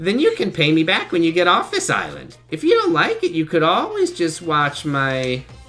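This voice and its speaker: A woman in a put-on character voice, with faint music in the background. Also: moderate pace. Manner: mimicking the character's actual voice.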